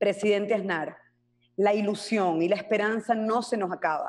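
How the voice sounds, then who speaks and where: A woman talks with a fairly high pitch and ordinary pitch variation, the background quiet. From Venezuela. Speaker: human rights activist. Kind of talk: panel speech. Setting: conference stage with audience. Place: home room. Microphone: video call.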